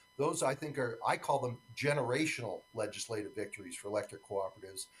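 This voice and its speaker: A man talks at a very fast pace. His medium-pitched voice is somewhat breathy. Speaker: electric cooperative industry advocate. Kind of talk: conference keynote speech.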